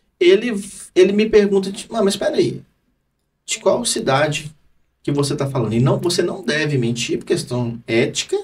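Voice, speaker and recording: A high-pitched man with a Minas Gerais accent speaks at a moderate pace, using very wide pitch swings. Long, frequent pauses break up his speech. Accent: Minas Gerais accent, noticeable. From Minas Gerais, Brazil. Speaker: lawyer. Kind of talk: casual podcast chat.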